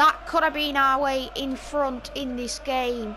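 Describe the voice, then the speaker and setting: Against noticeable background noise, a woman speaks at a high pitch in a northern English accent. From northern England. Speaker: gaming YouTuber. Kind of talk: gameplay commentary. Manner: casual, chatty with hesitations.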